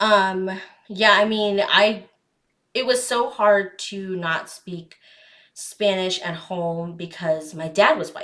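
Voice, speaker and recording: At a very slow pace, a woman speaks at a medium pitch with ordinary pitch variation, a bright, sharp tone and big swings in loudness. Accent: American. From Arizona. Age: 20s. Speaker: podcast host. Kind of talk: casual chat.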